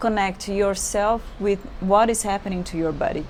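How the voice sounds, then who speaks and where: A woman of medium pitch with a Brazilian accent, ordinary pitch variation and audible room echo. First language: Portuguese. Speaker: yoga teacher. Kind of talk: yoga class instruction. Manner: halting.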